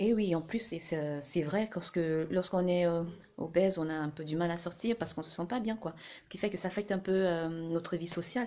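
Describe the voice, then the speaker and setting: Speaking at a fairly quick pace, a woman has a fairly low pitch with ordinary pitch variation. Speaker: vlogger. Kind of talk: casual talk to camera. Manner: fast; hesitant, many fillers.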